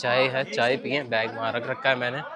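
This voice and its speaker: A man speaks at a medium pitch and a fairly slow pace. Crowd noise fills the background. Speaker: travel vlogger. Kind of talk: casual vlog narration. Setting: outdoors on a mountain ride.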